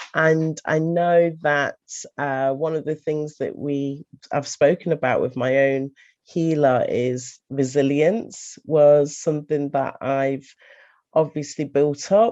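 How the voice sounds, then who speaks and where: In an English accent, a woman speaks with a very deep, low pitch and a dark, mellow tone. Her pace is very slow and her intonation fairly even. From England. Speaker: lifestyle coach. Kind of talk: testimony. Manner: halting.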